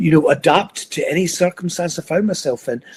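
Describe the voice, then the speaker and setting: A man with a Scottish accent speaks at a fairly high pitch. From Scotland, Edinburgh. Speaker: motivational speaker. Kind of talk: interview, life story.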